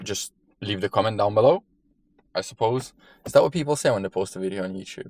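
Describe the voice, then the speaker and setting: In a non-native accent, a man with fairly low pitch speaks very fast yet leaves long, frequent pauses. The sound is dry and close with no echo. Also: ordinary pitch variation. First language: not English. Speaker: fitness vlogger. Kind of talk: casual vlog.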